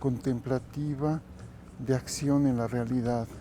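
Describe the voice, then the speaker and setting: A man with a Mexican accent, dark and mellow in tone, with ordinary pitch variation. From Mexico. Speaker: kundalini yoga teacher. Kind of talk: interview.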